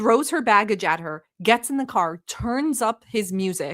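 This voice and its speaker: A woman speaks fairly slowly in a fairly high pitch, her animated tone marked by very wide pitch swings. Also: very clean recording, silent background. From Turkey (Istanbul). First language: not English. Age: 40s. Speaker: streamer reacting to videos. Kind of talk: live stream commentary, reading chat.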